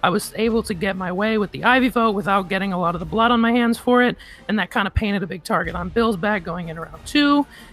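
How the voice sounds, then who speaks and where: At a very fast pace, the speaker uses lively intonation while music plays in the background. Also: woman. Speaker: online game show finalist. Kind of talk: testimony. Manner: halting.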